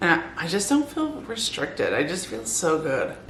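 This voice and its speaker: A woman at a moderate pace, amid noticeable background noise and audible room echo. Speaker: weight loss vlogger. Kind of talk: casual vlog. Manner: quiet, trying not to wake family.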